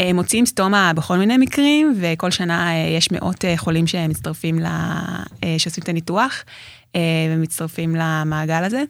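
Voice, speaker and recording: A woman speaks in a normal speaking voice, fairly low in pitch, at a fairly slow pace with ordinary pitch variation. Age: 30s. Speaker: tour guide and Crohn's patient. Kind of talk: interview.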